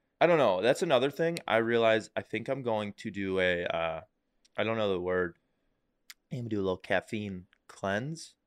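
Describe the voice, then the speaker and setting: This man talks at a moderate pace with a fairly low pitch. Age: 20s. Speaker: podcast co-host. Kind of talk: casual chat.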